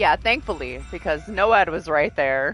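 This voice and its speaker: Music sits in the background as the speech moves at a moderate pace. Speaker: gaming streamer. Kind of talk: casual chat. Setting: live stream. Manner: loud.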